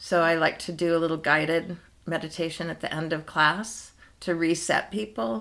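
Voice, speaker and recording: On a very clean recording with a silent background, a woman speaks at a moderate pace in a fairly low pitch with a bright, sharp tone and ordinary pitch variation. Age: 60s. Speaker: yoga and dance teacher. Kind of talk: casual interview chat.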